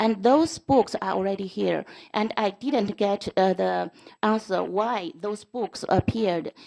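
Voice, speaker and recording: In a non-native accent, a woman speaks at a fairly slow pace with a medium pitch and a dark, mellow tone, the sound dry and close with no echo. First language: not English. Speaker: school board trustee. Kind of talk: board meeting debate. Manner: halting.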